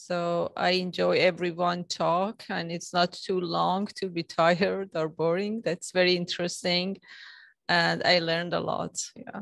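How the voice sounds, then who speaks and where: A woman with a non-native accent speaks at a fairly slow pace. Her voice is fairly low in pitch, with monotone, flat intonation. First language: not English. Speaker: visiting guest. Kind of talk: brief feedback remarks. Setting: in-person club meeting.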